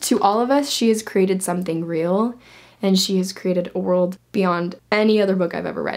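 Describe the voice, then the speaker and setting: With a quiet background behind her, a woman talks at a fairly quick pace in a medium pitch with ordinary pitch variation. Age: 20s. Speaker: book youtuber. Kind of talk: casual book review vlog. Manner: animated. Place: home room.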